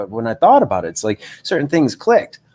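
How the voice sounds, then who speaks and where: On a very clean recording with a silent background, a man speaks at a very fast pace with vocal fry and very wide pitch swings. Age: 50s. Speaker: life coach. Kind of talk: livestream monologue. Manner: halting.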